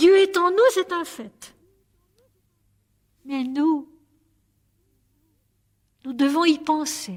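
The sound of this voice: At a very slow pace, a woman with a high pitch speaks with ordinary pitch variation and long, frequent pauses.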